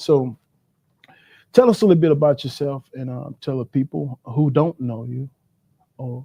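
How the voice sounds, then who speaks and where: A man with a fairly high pitch and a dark, mellow tone sounds somewhat breathy and shaky, with ordinary pitch variation and a moderate pace. His loudness swings widely, long pauses come often, and the sound is dry and close with no echo. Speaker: livestream host. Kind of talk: interview. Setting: livestream. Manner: shaky voice.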